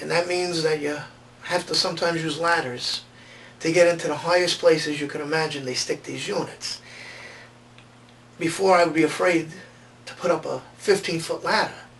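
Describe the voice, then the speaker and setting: A high-pitched man speaks at a moderate pace with fairly even intonation, long and frequent pauses, and big swings in loudness. Noticeable background noise runs behind him. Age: 40s. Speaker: patient. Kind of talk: testimony.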